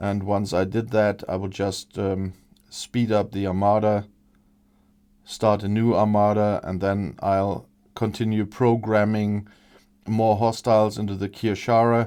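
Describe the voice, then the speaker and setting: A man with a German accent speaks at a fairly low pitch in a dark, mellow tone, his intonation monotone and flat. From Germany. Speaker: gaming video creator. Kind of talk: let's play commentary. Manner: halting, many fillers.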